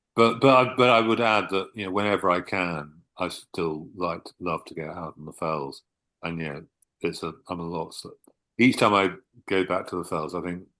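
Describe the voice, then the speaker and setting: A man with a southern English accent speaks at a very deep, low pitch, his tone bright and sharp and his pitch variation ordinary. He keeps a moderate pace with big swings in loudness over a quiet background. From southern England. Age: 60s. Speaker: author. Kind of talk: interview.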